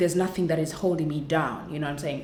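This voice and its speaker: This woman's voice sits very deep and low in pitch, with fairly even intonation. Audible room echo surrounds it. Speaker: content creator. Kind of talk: vlog testimony. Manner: fast.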